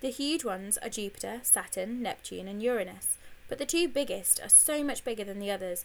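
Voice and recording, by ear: Someone reads aloud in a natural voice with lively intonation.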